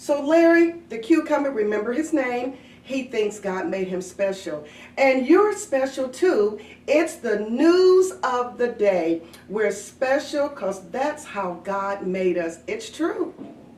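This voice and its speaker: A woman speaks very slowly in a high pitch, her voice swinging very widely up and down. Her tone is warm and upbeat, with noticeable background noise behind her. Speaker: daycare director. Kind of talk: casual talk to children. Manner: warm, upbeat.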